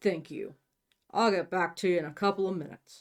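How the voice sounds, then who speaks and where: Raspy and middle-pitched, a put-on character voice moves at a fairly quick pace. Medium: read story. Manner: terse, deferential.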